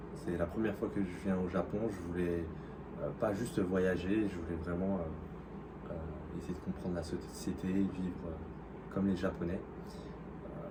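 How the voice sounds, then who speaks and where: A man with a very deep, low pitch speaks at a very slow pace in a monotone, flat intonation, amid noticeable background noise and audible room echo. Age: 30s. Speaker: working holiday language student. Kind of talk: interview. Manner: hesitant, many fillers.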